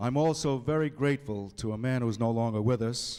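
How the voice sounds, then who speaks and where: Speaking at a moderate pace with an American accent, a man has a normal speaking voice at medium pitch with ordinary pitch variation. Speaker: public address announcer. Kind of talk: acceptance speech.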